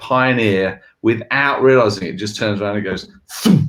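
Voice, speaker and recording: With an English accent, a man talks at a moderate pace and a medium pitch. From England. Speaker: leadership consultancy co-founder. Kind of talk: video podcast discussion.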